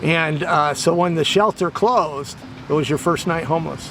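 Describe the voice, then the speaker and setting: Against noticeable background noise, a man with a fairly high pitch talks at a very slow pace. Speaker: interviewer and host of a homelessness video series. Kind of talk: interview questions. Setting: outdoors in a park.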